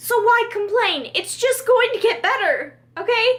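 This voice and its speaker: A woman speaks loudly in an animated tone at a fairly slow pace. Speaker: beauty and lifestyle vlogger. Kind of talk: casual favorites vlog.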